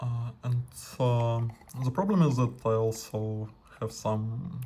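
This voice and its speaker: Somewhat breathy, a man speaks at a fairly slow pace. His pitch is medium, with ordinary variation. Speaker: radio amateur, scientist. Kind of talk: tutorial. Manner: halting, many fillers.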